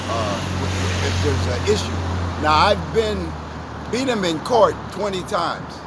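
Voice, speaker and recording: A man speaks at a fairly slow pace with a fairly high pitch. Noticeable background noise and audible room echo are present. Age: 70s. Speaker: member of the public interviewed outside court. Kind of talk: street interview.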